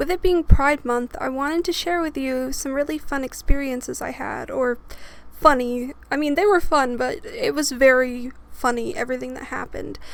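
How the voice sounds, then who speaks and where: A woman speaks at a high pitch with ordinary pitch variation and big swings in loudness. Noticeable background noise runs underneath. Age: 20s. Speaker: storytime YouTuber. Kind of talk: casual storytelling monologue.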